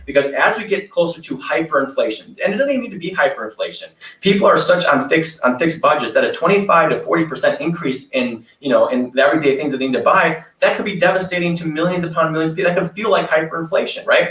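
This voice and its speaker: Speaking very fast with hardly any pauses, a man in an American accent sounds animated over noticeable background noise. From Wisconsin. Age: 30s. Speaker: political candidate. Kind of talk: interview.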